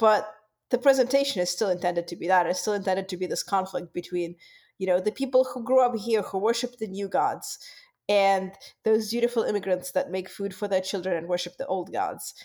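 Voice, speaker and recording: Fairly quick speech with ordinary pitch variation, on a very clean recording with a silent background. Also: woman, medium pitch for a woman. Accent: Russian. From Russia. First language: Russian. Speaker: podcast co-host. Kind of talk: casual chat.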